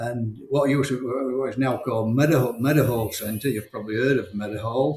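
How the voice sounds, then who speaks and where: A man's medium-pitched voice with a Yorkshire accent, fairly quick and barely pausing, the intonation fairly even. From South Yorkshire, near Barnsley/Sheffield. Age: 60s. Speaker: champion game shooter, former miner. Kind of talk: interview. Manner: halting, repetitive.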